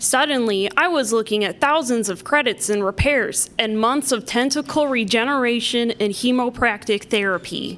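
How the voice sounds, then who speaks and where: A woman's high voice at a moderate pace, with ordinary pitch variation, very even loudness and noticeable background noise. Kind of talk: pitchman ad parody, mock gourmet restaurant commercial in a refined tone.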